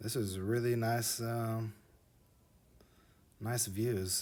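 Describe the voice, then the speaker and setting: Somewhat breathy, the man speaks with a monotone, flat intonation. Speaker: video creator narrating map flyovers. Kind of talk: casual video narration. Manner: hesitant, many fillers.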